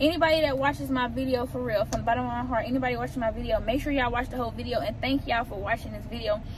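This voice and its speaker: A woman's very fast speech with hardly any pauses, dry with no echo, over noticeable background noise. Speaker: vlogger. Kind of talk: casual vlog chat. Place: car. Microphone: phone near.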